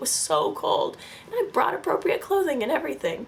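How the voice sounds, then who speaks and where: A woman's pitch swings very widely over noticeable background noise. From Northern California. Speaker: vlogger. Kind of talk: casual vlog narration. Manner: animated.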